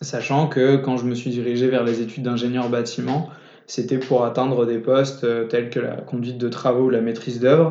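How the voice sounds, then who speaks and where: Monotone, flat intonation at a moderate pace, with audible room echo and noticeable background noise. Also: man, medium pitch for a man. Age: 20s. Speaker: young entrepreneur, startup founder. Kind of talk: casual interview. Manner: halting, frequent repetitions.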